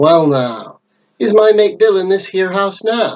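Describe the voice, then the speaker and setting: A man speaks at a fairly slow pace in a put-on character voice, growling at a high pitch. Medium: read story. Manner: snarling, falsely friendly.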